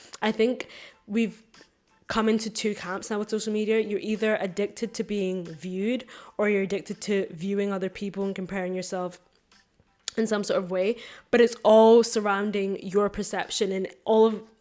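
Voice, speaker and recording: Music plays behind a woman's voice. She is medium-pitched and speaks with monotone, flat intonation. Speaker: podcast host. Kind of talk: solo podcast monologue. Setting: filmed podcast. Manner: fast.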